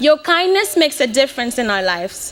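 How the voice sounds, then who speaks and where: Against noticeable background noise, a woman speaks in a high voice that swings very widely in pitch. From Mozambique, Beira. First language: Portuguese. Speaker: graduating student. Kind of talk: commencement speech. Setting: stage with audience.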